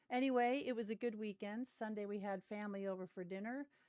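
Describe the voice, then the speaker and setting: A woman's medium-pitched voice with a West Coast US accent, very fast, with ordinary pitch variation and a dry, close sound with no echo. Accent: General American, West Coast. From US West Coast, Ventura County, Southern California. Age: middle-aged. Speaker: gaming streamer. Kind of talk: casual livestream chat. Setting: livestream.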